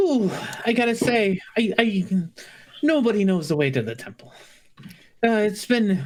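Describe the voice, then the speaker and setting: This is a squeaky, put-on character voice at a fairly slow pace. Long, frequent pauses break it up. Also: woman, medium pitch for a woman. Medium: actual play.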